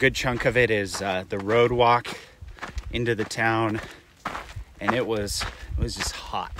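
A man at a fairly slow pace, dry sound with no echo, and noticeable background noise. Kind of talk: casual vlog chat. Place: open country. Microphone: phone near.

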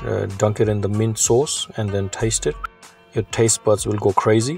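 A man's fairly low-pitched voice at a moderate pace, fairly even in intonation, with a dry sound with no echo and faint music in the background. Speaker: food vlogger. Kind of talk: casual vlog chat. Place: cafe. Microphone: phone near.

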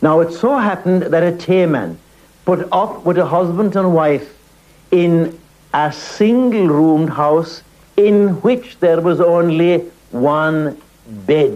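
With an Irish accent, a high-pitched man speaks at a very slow pace with long, frequent pauses, ordinary pitch variation and very even loudness. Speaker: storyteller. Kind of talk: storytelling. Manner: animated.

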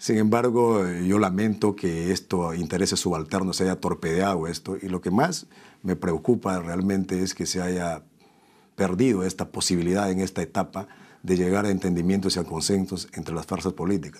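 Over a quiet background, the speaker keeps a moderate pace and fairly even intonation. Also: man, very deep, low pitch for a man. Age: 40s. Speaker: politician; politician, interview guest. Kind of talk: interview. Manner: halting. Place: studio. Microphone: lapel.

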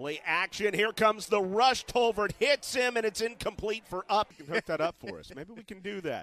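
Excited and bright with a sharp tone, a man speaks at a moderate pace with hardly any pauses, ordinary pitch variation and big swings in loudness. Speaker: play-by-play announcer. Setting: broadcast booth. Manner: rises to excited disbelief on big plays.

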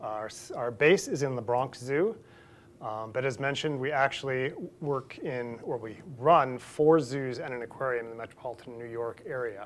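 The man talks with ordinary pitch variation, keeping a moderate pace. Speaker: invited lecturer. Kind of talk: lecture. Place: hall. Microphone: lapel.

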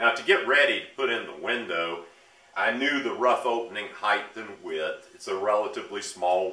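A man speaks with big swings in loudness. Audible room echo surrounds his voice. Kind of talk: tutorial. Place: garage. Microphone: camera far.

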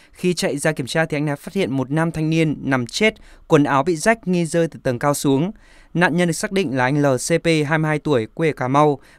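In a very clean recording with a silent background and a dry, close sound with no echo, a man with a plain, everyday voice talks at a moderate pace, fairly high in pitch, with ordinary pitch variation. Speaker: news reader. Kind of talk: news reading. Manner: formal.

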